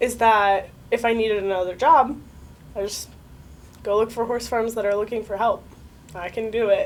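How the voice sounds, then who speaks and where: A woman with an American accent speaks at a moderate pace with fairly high pitch. Her intonation is fairly even, broken by long, frequent pauses. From Connecticut, USA. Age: 20s. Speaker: navy veteran, nursing student. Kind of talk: interview answer. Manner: casual, conversational.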